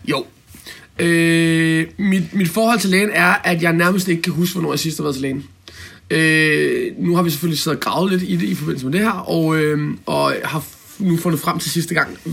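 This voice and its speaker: This man has a high-pitched voice with ordinary pitch variation. He talks at a moderate pace. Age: 30s. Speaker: self-employed business owner. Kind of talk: interview. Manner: halting, many fillers.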